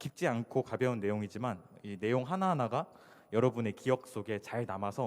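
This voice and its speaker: The recording is very clean, with a silent background. A man speaks fairly quickly at a medium pitch with ordinary pitch variation. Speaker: conference speaker, iOS developer. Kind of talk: conference talk. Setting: stage with audience. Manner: fast when excited.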